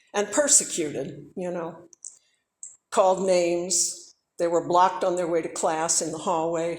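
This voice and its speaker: There is audible room echo as a woman speaks. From US South. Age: 60s. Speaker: civil rights era witness. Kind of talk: talk to students. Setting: church.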